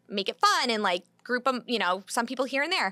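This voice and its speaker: A woman talks very fast in a high voice with a slight Michigan accent and lively intonation. Her tone is bright and sharp, and the sound is dry and close with no echo. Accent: Michigan, slight, sharp A's. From US Midwest, Michigan. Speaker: wedding planner. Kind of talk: podcast interview. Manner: quick.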